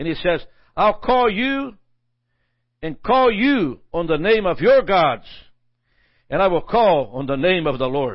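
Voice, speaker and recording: A high-pitched man speaking at a very slow pace, with very wide pitch swings. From Brazil. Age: 80s+. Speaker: pastor. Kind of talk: sermon.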